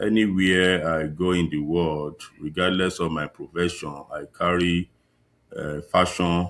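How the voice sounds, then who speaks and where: In a very clean recording with a silent background, a man with a Nigerian accent talks very slowly in a very deep, low pitch with fairly even intonation. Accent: Nigerian (Yoruba) English. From Nigeria, Ekiti State (southwest). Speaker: fashion designer. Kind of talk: interview. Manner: halting.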